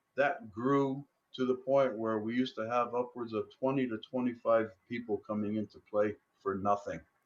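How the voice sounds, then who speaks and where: Delivery is at a moderate pace with fairly even intonation. The loudness swings widely. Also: man, medium pitch for a man. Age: 60s. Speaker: former pub owner. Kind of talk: interview. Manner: hesitant, many fillers.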